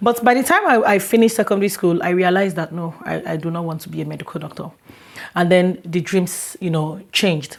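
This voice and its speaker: With a Nigerian accent, a woman with a fairly low pitch talks at a very fast pace, her loudness swinging widely and her pitch varying in an ordinary way, over noticeable background noise. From Lagos, Nigeria. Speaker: international student. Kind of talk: interview. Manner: halting.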